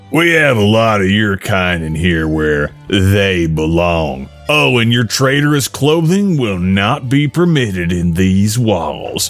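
A man's put-on character voice, fairly low-pitched and fairly slow, with hardly any pauses and clear music in the background. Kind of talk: commanding. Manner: sadistic.

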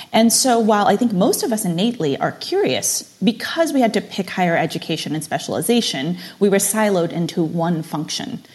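A woman talks at a fairly quick pace with hardly any pauses, her pitch medium. Her intonation is lively and her voice somewhat breathy. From immigrant family, moved to US at age six. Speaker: digital marketing executive and NFT space host. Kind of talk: interview conversation.

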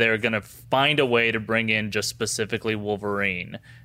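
The recording is very clean, with a silent background. A man talks in a medium pitch with a bright, sharp tone. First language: not English. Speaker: YouTube entertainment show host. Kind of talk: casual chat.

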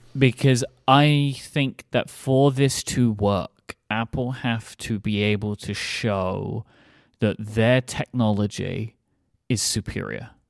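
The speaker has a British accent and fairly even intonation, talking at a very slow pace. The sound is dry and close, with no echo. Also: man, medium pitch for a man, very clean recording, silent background. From UK. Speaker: podcast host. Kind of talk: casual chat.

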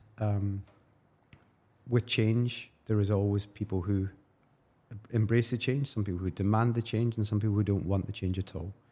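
In a Glaswegian accent, a man with a fairly low pitch and a dark, mellow tone speaks somewhat breathily at a moderate pace, with fairly even intonation and long, frequent pauses. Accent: Glaswegian Scottish. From Scotland, Glasgow. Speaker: football club commercial executive. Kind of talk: interview.

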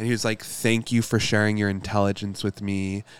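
A man with an American accent speaks at a fairly low pitch in a monotone, flat way on a very clean recording with a silent background. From Michigan. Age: 20s. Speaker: astrologer. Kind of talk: casual chat.

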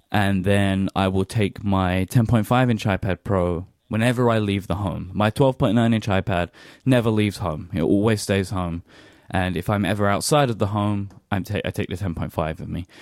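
A man with a British accent speaks at a moderate pace in a fairly low pitch with fairly even intonation, in a very clean recording with a silent background and a dry, close sound with no echo. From British Isles. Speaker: podcast host. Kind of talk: casual chat.

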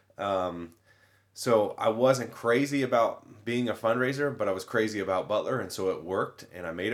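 An American accent with ordinary pitch variation. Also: man. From Indiana, US Midwest. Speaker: university communications director and mascot handler. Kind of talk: casual interview.

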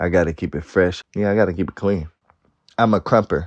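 A man with an American accent speaks in a very deep, low pitch with ordinary pitch variation. The background is quiet and the sound is dry and close with no echo. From Oakland, California. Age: 20s. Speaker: dance crew director. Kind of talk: interview.

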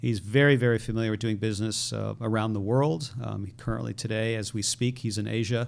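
A man with an American accent and an ordinary speaking voice, medium pitch, fairly even intonation, a fairly quick pace and hardly any pauses. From Connecticut, US. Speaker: tech startup CEO. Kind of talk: interview.

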